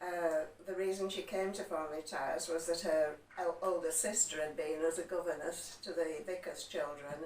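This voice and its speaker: Someone with a West Yorkshire accent talks at a moderate pace in a monotone, flat delivery. Noticeable background noise sits behind the voice. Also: woman, fairly low pitch for a woman. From West Yorkshire, Huddersfield area. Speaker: interviewee on local heritage. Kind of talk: interview, personal recollection. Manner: hesitant, with fillers.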